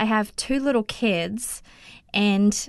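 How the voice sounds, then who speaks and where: Someone speaks with an Australian accent against a quiet background. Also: woman. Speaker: podcaster. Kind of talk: testimony.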